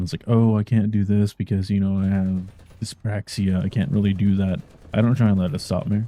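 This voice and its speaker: A quiet, mumbling man with a fairly low pitch, a dark, mellow tone and fairly even intonation. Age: 30s. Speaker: gaming streamer and video creator. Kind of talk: personal explainer monologue.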